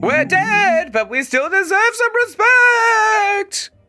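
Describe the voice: A woman uses a put-on character voice at an extremely high pitch. She talks at a very slow pace over faint music in the background.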